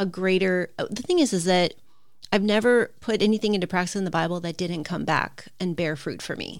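A woman speaks at a fairly quick pace in a plain, everyday voice, medium in pitch with ordinary variation. The recording is very clean, with a silent background. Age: 50s. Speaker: retired teacher. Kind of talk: casual chat.

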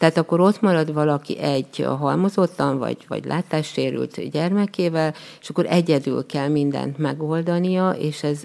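A woman talks at a moderate pace with lively intonation and hardly any pauses. Her pitch is very deep and low, and there is noticeable background noise. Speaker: special education teacher and pottery instructor. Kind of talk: interview. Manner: halting.

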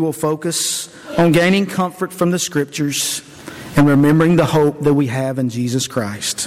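Noticeable background noise sits under a man speaking at a moderate pace in a fairly high voice. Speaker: preacher. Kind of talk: sermon introduction with scripture reading. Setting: church.

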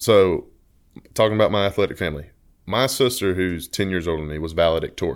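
A man with an Alabama accent and a very deep, low pitch talks at a very fast pace with ordinary pitch variation, on a very clean recording with a silent background. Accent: Southern US (Alabama). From Alabama, US South (Leeds). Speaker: engineering graduate and former college athlete. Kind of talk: casual chat.

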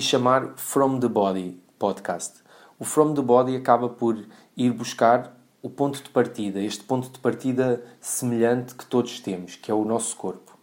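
At a moderate pace and with ordinary pitch variation, the speaker with a European Portuguese accent shows big swings in loudness on a very clean recording with a silent background. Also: man, medium pitch for a man. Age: 30s. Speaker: podcast host, personal trainer. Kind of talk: podcast monologue. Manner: halting, many fillers.

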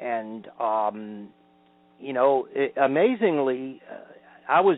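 A man is speaking here. He has an American accent. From Georgia, US. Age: 60s. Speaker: folk singer-songwriter. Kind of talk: interview answers, recalling his career. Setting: phone call.

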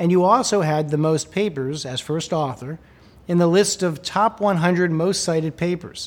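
This man has a normal speaking voice, fairly high in pitch, delivered at a moderate pace. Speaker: interviewer. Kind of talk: interview.

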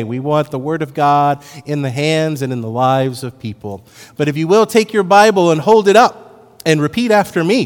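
Over music in the background, a man speaks at a fairly quick pace with a fairly high pitch and lively intonation. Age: 50s. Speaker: pastor. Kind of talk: sermon.

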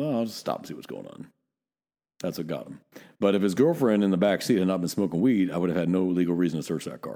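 A man with an American accent speaks very fast in a very deep, low, dark and mellow voice, with ordinary pitch variation and big swings in loudness. The recording is very clean, with a silent background. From Northern California. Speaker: police officer and podcast host. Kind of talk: casual chat; serious closing message.

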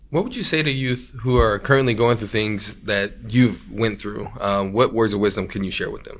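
A man with an ordinary speaking voice and a medium pitch talks with hardly any pauses, his loudness swinging widely. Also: ordinary pitch variation, moderate pace. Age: young. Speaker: youth podcast host. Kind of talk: casual interview; scripted intro.

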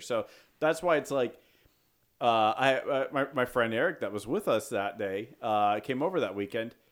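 The voice is an unremarkable speaking voice at a fairly quick pace. The recording is very clean, with a silent background. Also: man. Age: 30s. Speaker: podcast co-host. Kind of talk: casual chat.

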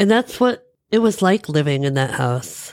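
A woman's very deep, low voice at a fairly slow pace, dry and close with no echo. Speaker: podcast host. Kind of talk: personal reflective monologue.

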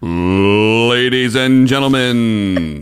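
The voice is a man's, medium in pitch. He is doing a put-on character voice. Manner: showy, theatrical.

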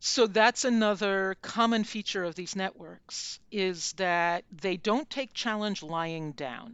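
A very slow-paced woman in an American accent, medium in pitch, with hardly any pauses. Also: ordinary pitch variation. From United States. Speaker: journalist and author. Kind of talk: interview.

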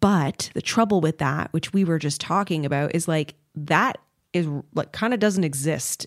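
On a very clean recording with a silent background, the sound is dry and close with no echo. A woman uses a normal speaking voice, fairly low in pitch, with ordinary pitch variation at a moderate pace. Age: 30s. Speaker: podcast host and YouTuber. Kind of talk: casual chat.

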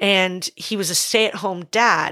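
A woman with an unremarkable speaking voice, medium pitch and fairly even intonation, on a very clean recording with a silent background. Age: 30s. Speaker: podcast co-host and business owner. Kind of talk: casual chat.

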